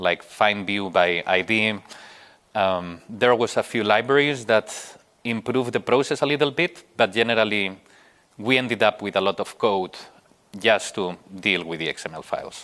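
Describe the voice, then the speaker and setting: Speaking at a moderate pace with a Spanish accent, a man uses a bright, sharp tone, fairly low pitch, and ordinary pitch variation. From Spain. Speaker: software engineer, conference speaker. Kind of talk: conference talk. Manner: hesitant, many fillers.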